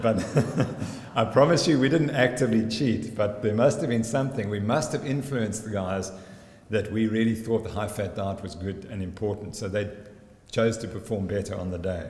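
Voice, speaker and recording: A man speaks at a fairly low pitch with ordinary pitch variation, and audible room echo surrounds his voice. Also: moderate pace. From South Africa. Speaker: sports scientist. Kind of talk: conference presentation. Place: hall. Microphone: podium.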